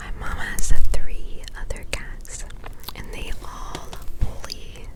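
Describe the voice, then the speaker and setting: A woman is whispering at a very slow pace. Noticeable background noise sits under her voice. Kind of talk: ASMR whisper ramble. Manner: whispered.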